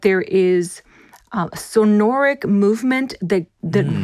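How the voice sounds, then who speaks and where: A woman with a Spanish accent, medium pitch, very slow pace. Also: very clean recording, silent background. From Puerto Rico. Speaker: voice and dialect coach. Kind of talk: interview.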